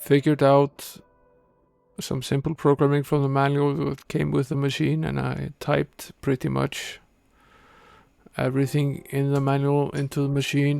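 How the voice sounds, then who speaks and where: The recording is very clean with a silent background. A man speaks at a moderate pace with long, frequent pauses. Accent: non-native. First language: not English. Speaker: retro gaming streamer. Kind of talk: live gameplay stream commentary. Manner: hesitant, many filler uhs.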